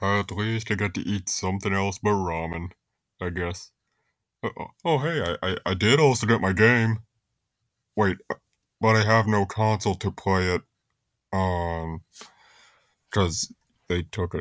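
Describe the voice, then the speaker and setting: A man performs a cartoonish character voice at a fairly low pitch and a fairly slow pace, with long, frequent pauses, in a dry, close sound with no echo on a very clean recording with a silent background. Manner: whiny, gullible.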